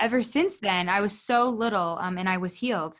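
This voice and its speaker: In a very clean recording with a silent background, a woman with a normal speaking voice talks at a moderate pace, at medium pitch with ordinary pitch variation. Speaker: naturopathic doctor and podcast host. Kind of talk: interview.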